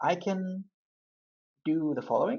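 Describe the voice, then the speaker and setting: In a non-native accent, the words come at a fairly quick pace. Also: woman. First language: not English. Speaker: UI engineer and Android developer making coding tutorials. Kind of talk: coding tutorial.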